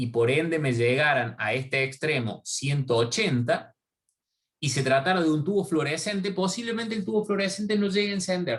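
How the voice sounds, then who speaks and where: The man keeps a moderate pace while his intonation stays lively. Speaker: university lecturer. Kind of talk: online lecture. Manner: halting.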